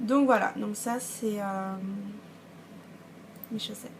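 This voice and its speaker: A woman with a fairly high voice speaks at a moderate pace as noticeable background noise continues. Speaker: knitting and sewing podcaster. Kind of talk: casual vlog talk. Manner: hesitant, many fillers.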